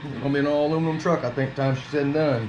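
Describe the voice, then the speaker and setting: A man's fairly high voice at a very fast pace, with noticeable background noise and audible room echo. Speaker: RC car YouTuber. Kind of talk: hands-on product tutorial. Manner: casual.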